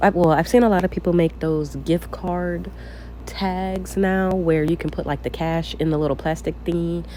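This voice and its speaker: At a moderate pace, the speech comes through noticeable background noise. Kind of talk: casual screen-recorded craft tutorial. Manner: casual, chatty, hesitant with fillers.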